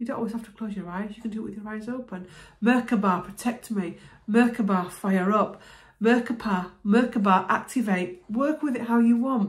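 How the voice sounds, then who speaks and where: A somewhat breathy woman at a moderate pace, with fairly even intonation, big swings in loudness and a quiet background. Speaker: spiritual healer vlogger. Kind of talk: explanatory self-help talk to camera. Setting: video, talking to camera. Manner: conversational, relaxed. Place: home room. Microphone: phone near.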